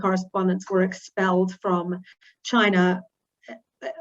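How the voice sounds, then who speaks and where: A woman with a New Zealand accent speaks at a medium pitch and a fairly slow pace, her intonation monotone and flat. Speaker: newspaper editor, journalist. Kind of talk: talk to an online audience. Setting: video call. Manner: many fillers (um, uh).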